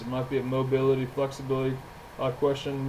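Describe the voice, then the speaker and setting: A man's medium-pitched, monotone, flat voice at a very fast pace, with audible room echo and noticeable background noise. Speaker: gym owner and trainer. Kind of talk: podcast monologue.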